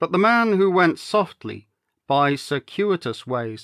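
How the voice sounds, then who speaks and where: An unremarkable speaking voice, this man talks at a fairly slow pace with lively intonation on a very clean recording with a silent background. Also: dry, close sound with no echo. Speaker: actor and storyteller. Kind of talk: audiobook-style story reading.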